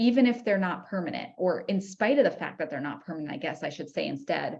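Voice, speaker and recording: Using vocal fry, a woman with an American accent and medium pitch speaks very fast with very wide pitch swings. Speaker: podcast host. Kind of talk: casual educational monologue.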